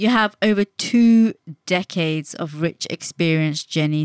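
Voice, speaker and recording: At a fairly slow pace, a woman with a fairly low pitch speaks in a warm, enthusiastic tone, in a very clean, dry, close recording with a silent background and no echo. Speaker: podcast host. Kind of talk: interview, scripted intro.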